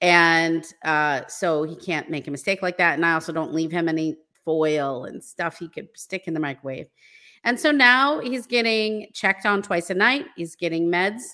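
In a very clean recording with a silent background, a woman with a fairly low pitch and a bright, sharp tone speaks at a moderate pace. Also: lively intonation. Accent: American. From United States. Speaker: relocation consultant. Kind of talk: casual interview chat.

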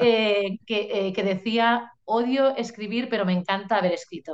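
A woman with a Catalan accent speaks with fairly even intonation. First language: Catalan (speaking Spanish). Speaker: novelist. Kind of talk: interview. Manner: hesitant, many fillers.

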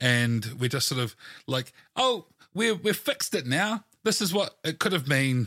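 With a New Zealand accent, a man speaks at a moderate pace in a fairly high, bright and sharp voice, his pitch swinging very widely while his loudness stays very even, on a very clean recording with a silent background. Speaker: podcast host, tabletop game consultant. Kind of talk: casual interview chat.

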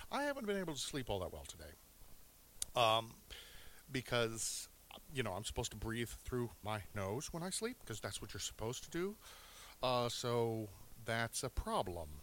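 Pausing long and often, a man at medium pitch speaks at a moderate pace with lively intonation. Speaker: music show host. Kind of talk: casual solo radio show. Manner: hesitant, many filler words.

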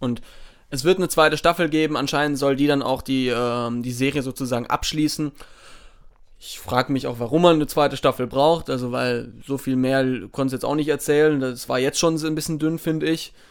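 In a plain, everyday voice, a man talks at a fairly quick pace and a fairly high pitch. His intonation is fairly even, on a very clean recording with a silent background. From southern Germany, Baden. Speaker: podcast co-host. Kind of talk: casual chat.

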